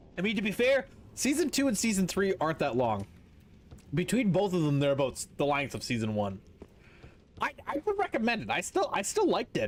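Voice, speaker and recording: This man speaks at a fairly quick pace with an animated tone. His speech is broken by long, frequent pauses. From Canada. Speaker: video game streamer. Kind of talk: casual live-stream chat. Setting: live stream. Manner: loud.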